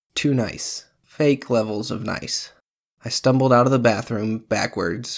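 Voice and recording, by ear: Reading aloud in a natural voice, the speaker keeps fairly even intonation against a quiet background.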